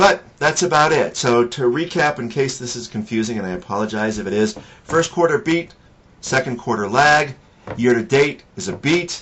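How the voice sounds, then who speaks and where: A man with a plain, everyday voice speaks at a medium pitch. His intonation is lively. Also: moderate pace. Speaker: financial advisor and blogger. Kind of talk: weekly market commentary monologue. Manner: casual with frequent fillers.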